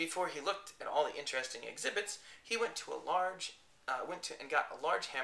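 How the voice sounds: The intonation has plenty of life in it. It comes across as a natural reading voice.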